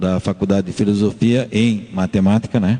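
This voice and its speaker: Noticeable background noise sits behind a man with a fairly low pitch. His intonation stays fairly even. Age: 60s. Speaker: math teacher. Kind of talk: radio interview.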